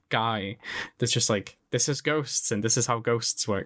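Here a man has an unremarkable speaking voice at a medium pitch. His pitch varies in an ordinary way, over a quiet background. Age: 20s. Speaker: podcast host. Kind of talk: casual chat.

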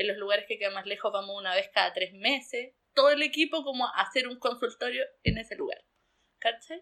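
Her voice is high, with lively intonation. The woman talks at a fairly quick pace. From southern Chile, Pucón. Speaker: rural doctor. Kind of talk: interview.

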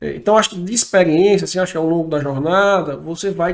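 High pitch and ordinary pitch variation in a man's voice. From Ceará, Brazil (Fortaleza). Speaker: entrepreneur. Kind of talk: interview.

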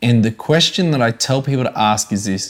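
In a very clean recording with a silent background, a man with an Australian accent speaks at a moderate pace with ordinary pitch variation. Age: 30s. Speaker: evangelist and ministry coach. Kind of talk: interview, personal testimony. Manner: animated.

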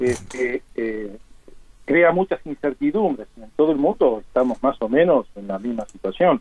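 Speaking fairly slowly, a man with an ordinary speaking voice and medium pitch swings widely in loudness. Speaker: emergency physician and university professor. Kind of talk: radio interview.

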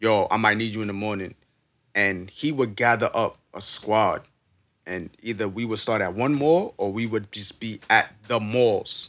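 Speaking fairly slowly, a man talks with a New York accent. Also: ordinary pitch variation. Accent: New York City. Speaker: podcast host. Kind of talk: casual chat. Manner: halting, many fillers.

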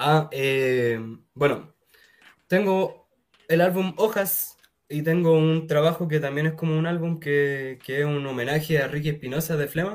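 A man with a Chilean accent talks at a fairly slow pace and a fairly high pitch, with ordinary pitch variation. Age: 20s. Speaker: musician. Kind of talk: casual chat.

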